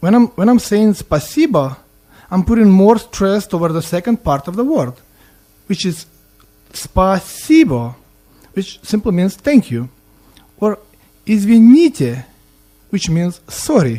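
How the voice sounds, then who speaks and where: With a Russian accent, a man speaks at a fairly slow pace in a high voice with a dark, mellow tone, very wide pitch swings and long, frequent pauses. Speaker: student language teacher. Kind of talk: language lesson. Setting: student radio studio. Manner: halting, repeats words.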